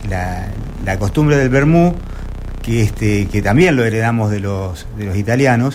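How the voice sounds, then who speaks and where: In an Argentine accent, a man speaks fairly slowly with very wide pitch swings, amid noticeable background noise and audible room echo. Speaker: sports club secretary. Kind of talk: interview. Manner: conversational with many fillers.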